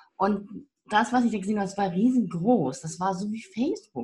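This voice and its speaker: This woman's voice is somewhat breathy, and her intonation is lively. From northern Germany. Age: 50s. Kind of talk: interview.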